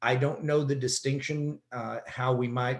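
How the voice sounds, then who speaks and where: Somewhat breathy and flat, a man talks monotonously at a fairly slow pace. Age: 60s. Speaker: economist. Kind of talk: webinar presentation. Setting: webinar.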